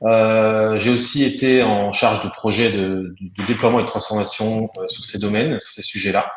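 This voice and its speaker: A man's medium-pitched voice at a moderate pace, fairly even in intonation, with hardly any pauses and audible room echo. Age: 30s. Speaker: software customer success manager. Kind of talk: webinar presentation. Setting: online webinar. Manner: hesitant, many fillers.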